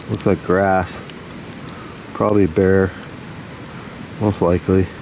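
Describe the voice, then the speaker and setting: A man's very deep, low voice, monotone and flat, over noticeable background noise. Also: fairly slow pace. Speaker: outdoor explorer vlogger. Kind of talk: casual field vlog narration. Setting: outdoors in a valley. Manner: quiet, hushed.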